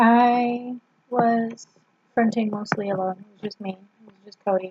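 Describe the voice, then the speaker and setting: A quiet woman's voice, fairly high in pitch, with fairly even intonation at a fairly slow pace. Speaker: vlogger. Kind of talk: casual vlog. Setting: at home, family member sleeping nearby. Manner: quiet, subdued.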